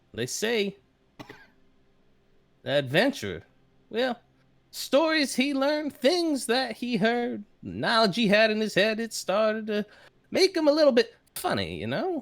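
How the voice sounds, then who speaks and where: A female-sounding put-on character voice drawls at a moderate pace with a fairly high pitch and long, frequent pauses. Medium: actual play. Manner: hesitant, stammering, folksy drawl.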